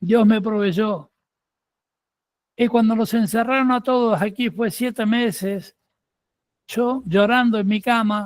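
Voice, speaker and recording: A man's high voice with fairly even intonation, in a very clean recording with a silent background. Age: 60s. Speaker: preacher. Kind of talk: sermon.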